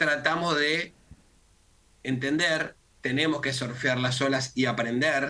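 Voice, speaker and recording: This man's fairly high voice stays fairly even in intonation. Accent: Rioplatense. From Argentina. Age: 60s. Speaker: communication consultant. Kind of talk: interview.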